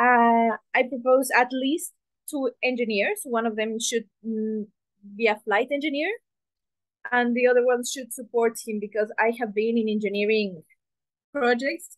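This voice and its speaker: Recorded with a dry, close sound and no echo, a woman with a Spanish accent speaks at a fairly slow pace in a fairly high pitch, with fairly even intonation and long, frequent pauses. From Mexico. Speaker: engineering student presenter. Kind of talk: presentation. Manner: halting.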